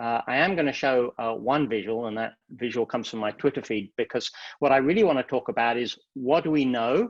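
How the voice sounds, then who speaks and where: Speaking at a fairly quick clip against a quiet background, a man with a medium-pitched voice uses lively intonation. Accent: English. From England. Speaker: psychiatry professor. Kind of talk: lecture. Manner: fast.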